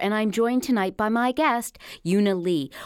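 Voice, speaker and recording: Here is a woman with a normal speaking voice. Her intonation is lively and her pace moderate. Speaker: surgeon and radio host. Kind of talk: interview. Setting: studio.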